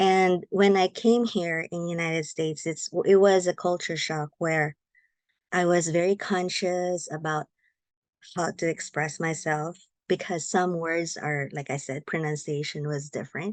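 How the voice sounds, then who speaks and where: Speaking with a Filipino accent, a woman talks at a fairly slow pace and fairly low pitch with fairly even intonation, the sound dry and close with no echo against a quiet background. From Philippines. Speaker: guest. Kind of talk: interview. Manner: halting.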